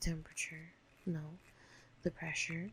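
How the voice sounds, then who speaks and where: Speaking with vocal fry, a woman uses a fairly low pitch and ordinary pitch variation. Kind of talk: ASMR-style reading of ocean facts, with casual asides.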